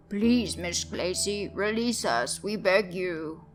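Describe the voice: Over music in the background, a female-sounding, croaky, put-on character voice at medium pitch moves at a fairly slow pace.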